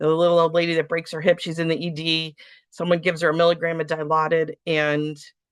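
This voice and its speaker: A woman with a very deep, low pitch talks at a fairly quick pace in a monotone, flat intonation over a quiet background. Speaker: physician lecturing medical students. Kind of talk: lecture. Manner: fast.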